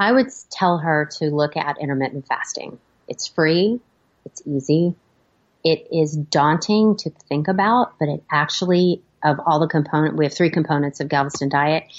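A woman speaks with a very deep, low pitch. Her pace is moderate and her pitch varies in an ordinary way. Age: 50s. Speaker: OB/GYN physician. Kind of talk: interview.

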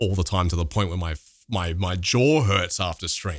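A man with an Australian accent has a very deep, low pitch and lively intonation. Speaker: streamer and YouTuber. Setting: remote call.

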